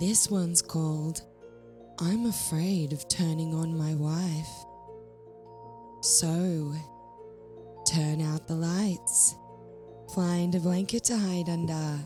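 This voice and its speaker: A woman speaks very slowly at a fairly low pitch, with long, frequent pauses. Her pitch varies in an ordinary way, her loudness stays very even, and music plays in the background. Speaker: horror story narrator. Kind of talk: channel intro to listeners.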